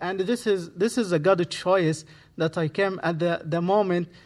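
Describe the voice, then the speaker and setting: Over a very clean recording with a silent background, a man with an Arabic accent speaks at a high pitch with fairly even intonation. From Egypt. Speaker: imam. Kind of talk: guest sermon. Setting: church. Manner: halting.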